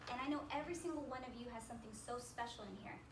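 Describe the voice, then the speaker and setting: A woman talks at a fairly quick pace in a high pitch, with audible room echo and noticeable background noise. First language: Spanish. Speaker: motivational speaker. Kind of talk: workshop talk to audience. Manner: animated, conversational.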